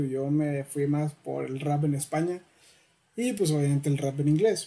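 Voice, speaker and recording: This man has a fairly high voice with a dark, mellow tone. He speaks with a Mexican accent. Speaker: podcast host. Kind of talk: casual interview.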